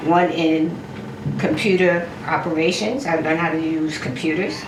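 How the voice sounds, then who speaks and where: At a moderate pace, a woman with a fairly low pitch speaks with ordinary pitch variation, amid audible room echo and noticeable background noise. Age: 70s. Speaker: home cook and mother of a rapper. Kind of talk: casual chat while cooking.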